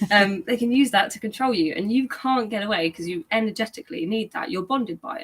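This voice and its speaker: The voice is somewhat breathy, with lively intonation and big swings in loudness. It moves at a very fast pace with hardly any pauses. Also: woman, fairly high pitch for a woman. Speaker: guest course teacher. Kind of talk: live stream Q and A. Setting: YouTube live stream.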